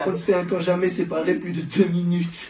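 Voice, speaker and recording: Someone with a Charleroi accent speaks at a fairly quick pace with fairly even intonation, with audible room echo and music in the background. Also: man. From Belgium, Charleroi. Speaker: engineering student. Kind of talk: comic roast speech.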